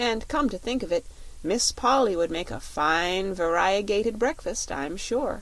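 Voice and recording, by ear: A text read aloud in a natural voice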